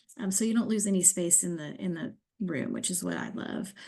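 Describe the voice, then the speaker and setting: Against a quiet background, a woman with vocal fry and a dark, mellow tone speaks at a moderate pace. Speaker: cruise line sales director. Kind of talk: sales presentation. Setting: screen-share video presentation. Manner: hesitant with fillers.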